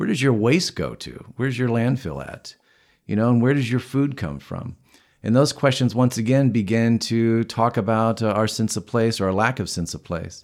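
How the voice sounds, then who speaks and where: Recorded very cleanly with a silent background, a man in an unremarkable speaking voice talks at a moderate pace with ordinary pitch variation. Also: medium pitch for a man. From Southern Illinois coal country. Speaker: author and historian. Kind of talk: interview.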